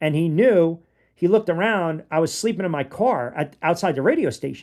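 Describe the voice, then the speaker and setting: Speaking at a fairly slow pace with a New York accent, a man uses a fairly high pitch, an animated tone and lively intonation. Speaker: sports podcast host. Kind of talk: casual podcast commentary.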